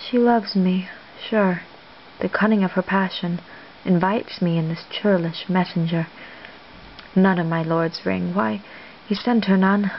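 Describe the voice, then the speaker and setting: Over light background noise, a woman reads at a fairly slow pace and medium pitch, with fairly even intonation and long, frequent pauses. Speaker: amateur reader of Shakespeare. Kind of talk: soft-spoken ASMR reading of theatre monologues. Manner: soft-spoken, whispered, relaxing. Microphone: webcam.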